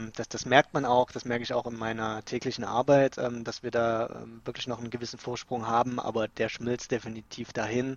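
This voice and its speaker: A man at medium pitch, monotone and flat in intonation, moderate in pace, with hardly any pauses. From Saxony, Dresden. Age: 30s. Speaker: office worker. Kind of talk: casual chat. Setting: remote call from home office.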